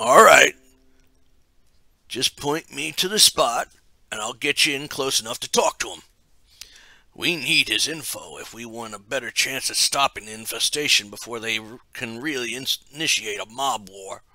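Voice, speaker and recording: A man puts on a raspy character voice at a medium pitch, with ordinary pitch variation. He leaves long, frequent pauses, and the sound is dry and close with no echo. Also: moderate pace. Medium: read story. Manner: brisk, practical.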